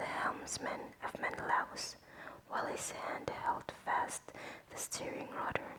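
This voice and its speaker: A whispered voice, spoken at a very slow pace. Noticeable background noise sits behind it. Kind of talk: whispered book reading for relaxation. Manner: whispered, soft.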